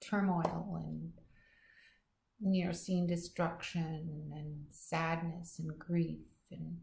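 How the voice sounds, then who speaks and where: A woman speaks very slowly in a fairly low, somewhat breathy voice, with long, frequent pauses. Her intonation is monotone and flat, while her loudness swings widely. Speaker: weaver. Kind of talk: casual talk to camera.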